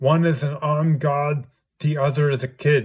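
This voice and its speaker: Using a put-on character voice, a man speaks at a fairly high pitch and a moderate pace. His loudness stays very even. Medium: read story. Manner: clipped military jargon.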